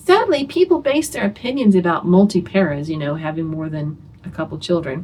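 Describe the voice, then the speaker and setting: Somewhat breathy and fairly low-pitched, a woman talks at a fairly quick pace with very wide pitch swings and big swings in loudness. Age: 60s. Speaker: homeschooling mother and video host. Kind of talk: casual talk to camera. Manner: conversational, with many fillers.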